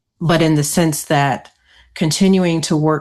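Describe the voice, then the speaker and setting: Against a quiet background, a woman speaks fairly slowly in a very deep, low pitch, her dark, mellow tone held in a monotone, flat intonation. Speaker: podcast co-host reflecting on job loss. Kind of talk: coaching conversation. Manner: somber.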